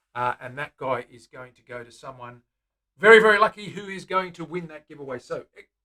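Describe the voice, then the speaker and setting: A man's high-pitched voice with a bright, sharp tone and lively intonation. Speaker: guitar builder and live streamer. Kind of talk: live stream chat while building. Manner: casual, with fillers.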